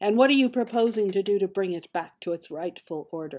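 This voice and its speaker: Putting on a character voice, a woman speaks fairly quickly at medium pitch with a hissing sound. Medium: actual play. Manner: suspicious.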